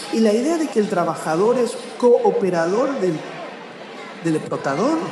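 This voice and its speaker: A man's high-pitched voice with very wide pitch swings, audible room echo and crowd noise in the background. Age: 50s. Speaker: writer. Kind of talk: public interview at a book festival.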